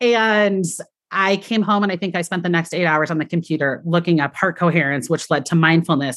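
A woman with an American accent has an unremarkable speaking voice and a fairly low pitch. Her intonation is lively, against a quiet background. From US, Colorado Springs. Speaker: elementary school teacher. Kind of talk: casual chat.

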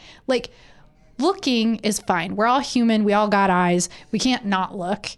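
A woman speaks at a fairly high pitch in a Michigan accent. The recording is very clean, with a silent background. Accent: Midwestern American (Michigan). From rural central Michigan. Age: 30s. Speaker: podcast co-host. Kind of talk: casual chat.

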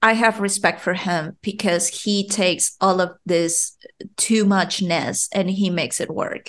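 Fairly slow speech with a Spanish accent over a quiet background. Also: woman. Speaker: podcast host. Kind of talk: casual chat.

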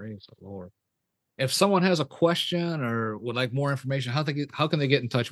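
With an ordinary speaking voice, a man talks at a fairly quick pace and a fairly high pitch, his intonation lively and his loudness swinging widely. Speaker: pastor and podcast host. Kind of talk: interview.

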